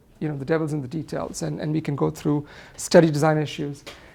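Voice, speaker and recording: A woman speaks at a very fast pace in a very deep, low voice with vocal fry. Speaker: clinical pharmacologist, guest lecturer. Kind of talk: lecture.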